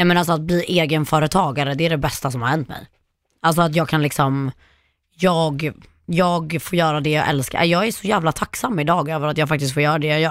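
A woman speaks with a very deep, low pitch at a fairly quick pace. The recording is very clean, with a silent background. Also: fairly even intonation. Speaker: social media influencer. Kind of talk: casual chat. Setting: studio.

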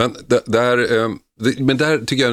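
The recording is very clean, with a silent background. A man talks at a fairly quick pace with vocal fry. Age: 50s. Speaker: radio host. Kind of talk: talk radio discussion. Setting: studio.

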